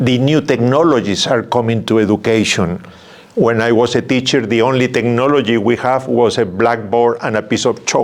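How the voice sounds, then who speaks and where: A man's medium-pitched voice in a strong South American accent, at a moderate pace with ordinary pitch variation, over noticeable background noise. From Peru. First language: Spanish. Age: 70s. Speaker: religious brother. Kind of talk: interview. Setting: studio. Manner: halting, repeats words.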